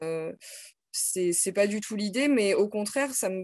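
A woman at a fairly slow pace with ordinary pitch variation, in a dry sound with no echo over a quiet background. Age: 30s. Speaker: teacher; teacher, interviewee. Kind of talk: casual interview. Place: home room. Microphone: video call.

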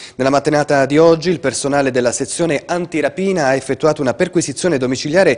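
A man at a very fast pace, with ordinary pitch variation and a quiet background. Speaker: news anchor. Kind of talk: news reading. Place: studio.

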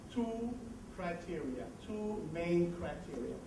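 There is noticeable background noise and audible room echo. Through it, a man talks with a Belgian accent. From Belgium. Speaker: management consultant. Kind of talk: presentation. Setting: conference hall.

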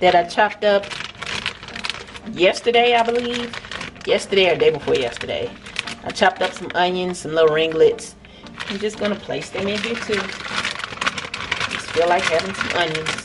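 Pausing long and often, a woman talks at a moderate pace amid noticeable background noise. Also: ordinary pitch variation. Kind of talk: casual cook-along narration. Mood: relaxed, easygoing. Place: kitchen. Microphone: camera far.

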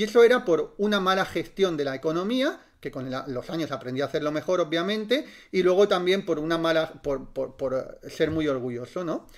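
The man's voice is high in pitch with lively intonation. He keeps a moderate pace. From Spain, Barcelona. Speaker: reiki teacher. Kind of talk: live-stream talk. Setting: live stream.

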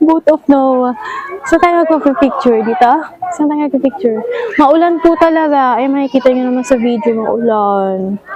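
Noticeable background noise accompanies a woman speaking at a moderate pace. Her pitch is high and her intonation lively. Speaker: travel vlogger. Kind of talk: casual vlog narration. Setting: outdoors. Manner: animated.

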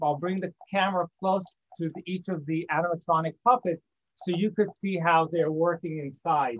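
At a moderate pace, a man talks with a high pitch and fairly even intonation. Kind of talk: casual show-and-tell presentation. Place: workshop. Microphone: video call.

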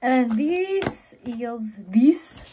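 The speaker's pitch swings very widely over light background noise. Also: woman. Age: 20s. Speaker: vlogger. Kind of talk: casual vlog talk to camera. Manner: animated. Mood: cheerful, chatty. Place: home room. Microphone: phone near.

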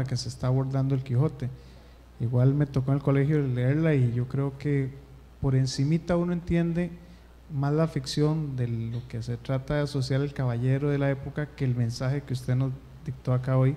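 A man speaks in a somewhat breathy voice with a dark, mellow tone and monotone, flat intonation. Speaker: audience member, former student; audience member. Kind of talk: audience comment. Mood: grateful, reflective. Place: classroom. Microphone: handheld.

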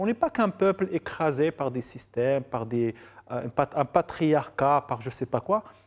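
A man with a fairly high pitch and lively intonation, at a fairly slow pace over a quiet background. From Morocco, Casablanca. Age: 40s. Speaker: filmmaker and novelist; guest. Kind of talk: TV interview. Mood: relaxed, reflective, ironic. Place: studio. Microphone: lapel.

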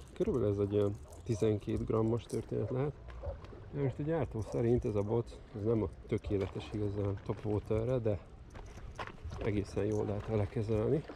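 Noticeable background noise sits behind a man with a fairly low pitch and ordinary pitch variation. He talks at a moderate pace with long, frequent pauses. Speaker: fishing video creator. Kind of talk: outdoor product review vlog. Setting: outdoors on the Danube bank. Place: waterside. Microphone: phone near.

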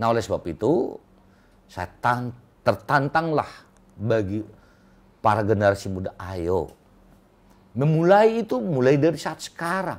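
A man speaks at a fairly slow pace, with very wide pitch swings and long, frequent pauses. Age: old. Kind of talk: interview. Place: office.

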